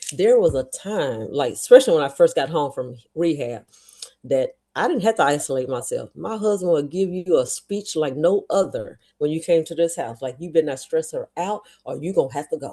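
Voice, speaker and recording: A woman speaks with a fairly low pitch and a dark, mellow tone. Her intonation is lively, and her loudness swings widely. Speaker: stroke survivor. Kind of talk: interview. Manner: fast.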